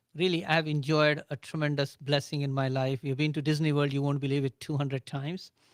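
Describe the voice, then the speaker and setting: A man with an Indian accent, fairly high in pitch, at a fairly quick pace and in a flat monotone. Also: dry, close sound with no echo. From India, Agra. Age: 60s. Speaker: business owner. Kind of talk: radio interview.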